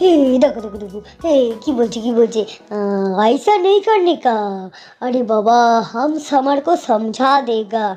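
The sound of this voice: A woman's high-pitched, cartoonish character voice with lively intonation, over music in the background. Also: moderate pace.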